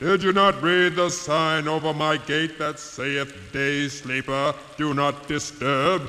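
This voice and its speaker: Putting on a character voice, a man speaks fairly slowly at a fairly high pitch, with clear background noise and clear echo. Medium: audio drama. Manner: gruff, growling.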